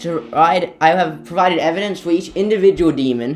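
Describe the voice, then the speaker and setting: A man with music in the background. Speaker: YouTube theory video narrator. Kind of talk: game lore theory narration. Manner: some stammering and pauses.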